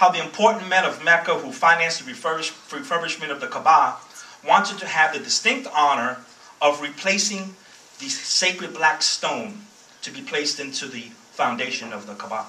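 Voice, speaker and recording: A man with a Bronx accent talks fairly quickly in a high pitch. His pitch swings very widely, and there is noticeable background noise. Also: big swings in loudness. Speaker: guest speaker, former soldier. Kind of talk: speech.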